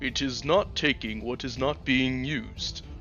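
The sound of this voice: A man performs a put-on character voice, booming and delivered at a moderate pace, with clear music playing in the background.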